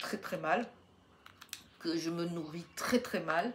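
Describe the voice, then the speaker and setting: Very slow delivery against noticeable background noise. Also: woman. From southeastern France, Riviera near Menton. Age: 60s. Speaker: YouTuber, retired grandmother. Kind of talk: casual Q&A monologue. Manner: hesitant, many fillers.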